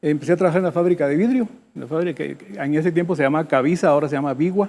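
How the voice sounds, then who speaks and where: A man talks at a very fast pace and a fairly high pitch, with ordinary pitch variation. His loudness swings widely. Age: 70s. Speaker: business founder. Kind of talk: interview. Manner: halting.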